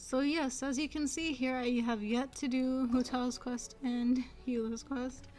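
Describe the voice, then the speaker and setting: A soft-spoken woman's high-pitched voice, monotone and flat in intonation, at a fairly slow pace. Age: 20s. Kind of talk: casual gameplay commentary.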